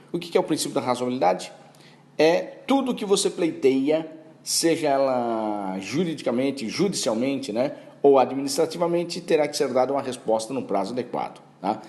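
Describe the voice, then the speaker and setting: A man speaks at a fairly high pitch. Room echo is audible. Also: lively intonation, moderate pace. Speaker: law professor. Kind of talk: lecture.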